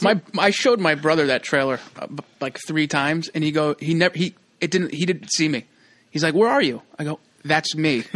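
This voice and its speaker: Using a normal speaking voice, a man talks at a fairly quick pace with fairly high pitch and ordinary pitch variation. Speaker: actor. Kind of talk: casual chat. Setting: studio. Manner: jokey, laughs often.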